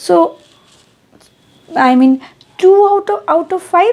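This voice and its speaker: A woman talks with a Bengali accent. Her pitch swings very widely. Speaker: English teacher. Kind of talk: tutorial. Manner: code-switching Bengali and English; halting, self-correcting.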